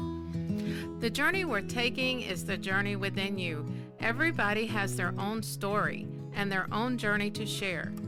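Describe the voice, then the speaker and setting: Over music in the background, a woman talks at a fairly slow pace with hardly any pauses. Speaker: life coach and podcast host. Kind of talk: podcast intro.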